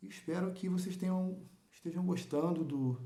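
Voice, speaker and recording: Somewhat breathy and dark and mellow in tone, a man's voice carries audible room echo. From Rio de Janeiro, Brazil. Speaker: local news vlogger. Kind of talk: informal monologue to viewers. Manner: halting, many repetitions and fillers.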